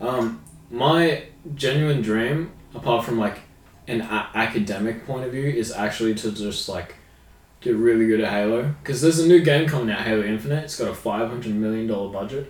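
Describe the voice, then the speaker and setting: Over audible room echo, a man with an Australian accent speaks fairly quickly at a medium pitch, with ordinary pitch variation. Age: 20s. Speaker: podcast co-host. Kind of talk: casual chat.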